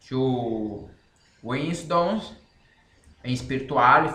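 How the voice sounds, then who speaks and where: Speaking at a very slow pace with a Brazilian Portuguese accent, a man's voice carries audible room echo. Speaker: author and language learning channel host. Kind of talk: casual explanation to camera. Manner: halting.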